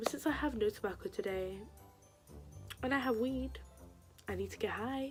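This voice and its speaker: Music plays behind the speaker. She is a woman talking at a moderate pace. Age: young. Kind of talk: casual talk to camera.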